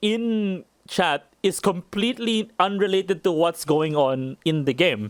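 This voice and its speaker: This man speaks with a high pitch. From Japan. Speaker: streamer. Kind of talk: casual chat. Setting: live stream. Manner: calm; halting.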